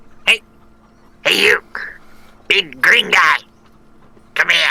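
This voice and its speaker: This is a put-on character voice at a middle pitch. The pace is fairly slow. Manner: shouting, calling out.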